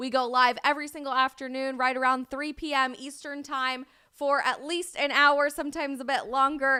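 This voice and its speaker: The voice has an American accent and an animated, bright, sharp tone, raised and projected at a moderate pace. The recording is very clean with a silent background. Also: woman, high pitch for a woman, hardly any pauses. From Colorado. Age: 20s. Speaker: live streamer and commentator. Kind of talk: live stream chat.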